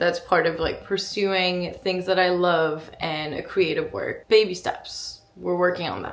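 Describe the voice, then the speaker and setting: A woman speaks with a French accent at a fairly slow pace. She leaves hardly any pauses. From France. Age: 20s. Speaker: lifestyle vlogger. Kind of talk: casual vlog narration.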